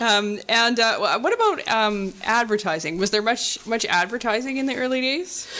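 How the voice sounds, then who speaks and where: Against noticeable background noise, a woman with a fairly high voice speaks at a moderate pace with ordinary pitch variation, hardly any pauses, and very even loudness. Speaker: museum interviewer. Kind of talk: interview. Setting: studio.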